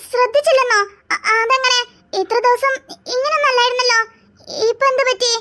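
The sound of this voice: A woman uses a cartoonish character voice at an extremely high pitch, speaking at a moderate pace. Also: fairly even intonation.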